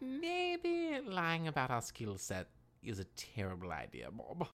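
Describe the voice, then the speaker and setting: A put-on character voice unfolds fairly slowly. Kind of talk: comedy audio drama. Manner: fussy, anxious, polite.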